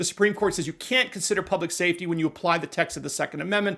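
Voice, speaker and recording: In a very clean recording with a silent background, a man with an American accent and a high pitch speaks at a very fast pace with ordinary pitch variation. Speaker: constitutional lawyer and commentator. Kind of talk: legal news commentary. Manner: animated.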